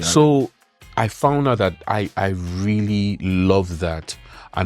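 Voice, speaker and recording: A man with a Nigerian accent speaks very slowly at a fairly low pitch. Music plays in the background. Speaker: spoken word poet. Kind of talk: interview answer.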